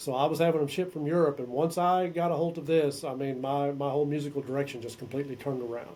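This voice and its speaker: A fairly high-pitched male voice with an American accent, fairly even intonation, a very fast pace and hardly any pauses. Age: 60s. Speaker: metal musician and songwriter. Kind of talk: interview.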